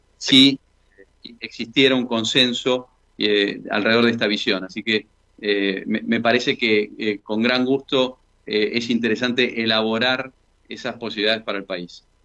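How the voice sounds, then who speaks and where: Moderate pace and fairly even intonation over a quiet background. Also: man. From Argentina. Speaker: engineer and former government official; interview guest. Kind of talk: radio interview. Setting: phone call. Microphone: video call.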